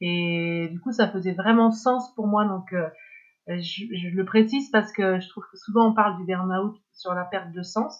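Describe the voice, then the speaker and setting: At a fairly slow pace, a woman with a medium pitch and fairly even intonation talks with big swings in loudness. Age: 50s. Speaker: former cultural sector executive. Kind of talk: testimony. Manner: halting.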